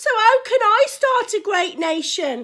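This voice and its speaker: A woman's put-on character voice, squeaky and extremely high-pitched, raised and projected, at a fairly slow pace with very wide pitch swings. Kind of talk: bedtime Bible story. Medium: read story.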